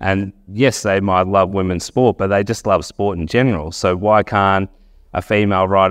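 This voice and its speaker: A man speaks with a very deep, low pitch in an Australian accent. The background is quiet. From Wagga Wagga, New South Wales, Australia. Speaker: sports journalist. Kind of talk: talk to a live audience.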